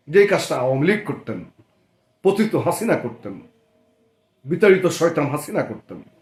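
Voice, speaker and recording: Big swings in loudness and lively intonation mark this man's high-pitched voice. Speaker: political party activist and channel commentator. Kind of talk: political monologue. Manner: formal.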